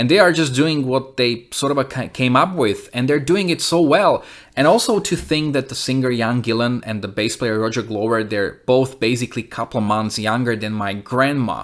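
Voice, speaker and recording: A man talks in a plain, everyday voice at medium pitch with ordinary variation. He keeps a moderate pace with hardly any pauses, in a very clean recording over a silent background. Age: 30s. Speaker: music reviewer and musician. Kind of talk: album review monologue; channel outro.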